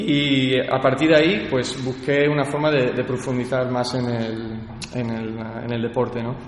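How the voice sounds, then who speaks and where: Over noticeable background noise and audible room echo, a man with a medium pitch talks at a fairly slow pace with fairly even intonation. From California, US and Badajoz, Spain. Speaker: athlete and CrossFit gym owner. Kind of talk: interview. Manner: halting, many fillers and repetitions.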